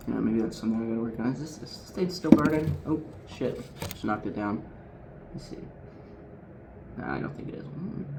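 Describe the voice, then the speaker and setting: Over noticeable background noise and audible room echo, a man at medium pitch talks at a fairly quick pace with very wide pitch swings, big swings in loudness, and long, frequent pauses. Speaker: streamer. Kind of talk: casual chat. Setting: home, quiet because of thin walls. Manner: soft-spoken.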